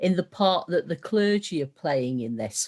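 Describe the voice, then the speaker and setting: Against a quiet background, a woman with a northern English accent speaks at a fairly low pitch. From northern England. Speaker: meeting chair. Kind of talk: panel discussion. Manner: fast.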